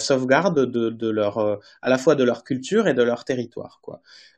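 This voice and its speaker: A man is speaking. The background is quiet. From French Basque Country. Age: 30s. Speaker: journalist, author. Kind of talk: interview. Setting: remote video call.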